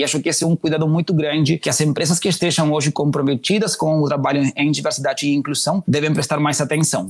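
With fairly even intonation, a man speaks in a fairly high pitch. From Uruguay. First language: Spanish (speaking Portuguese). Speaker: diversity and inclusion manager. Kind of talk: interview. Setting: remote call.

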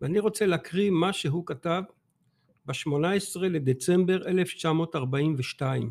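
A man's high voice at a very slow pace, with ordinary pitch variation. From Belgium, Antwerp. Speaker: author and teacher. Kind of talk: interview. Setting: studio.

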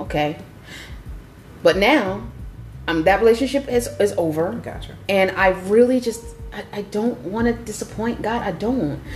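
A woman with a medium-pitched voice speaks at a moderate pace with lively intonation and long, frequent pauses over noticeable background noise. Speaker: co-host. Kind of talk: casual faith discussion.

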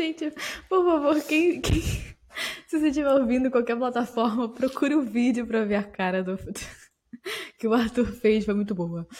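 A woman talks at a moderate pace with a high pitch. Long pauses come often. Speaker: podcast co-host. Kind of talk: casual chat. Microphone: muffled, as if behind a cloth.

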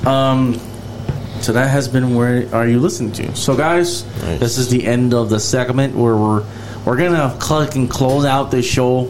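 A man talks at a fairly slow pace with fairly even intonation and very even loudness. Noticeable background noise runs underneath. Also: medium pitch for a man. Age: 30s. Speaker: podcast host. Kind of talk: casual chat.

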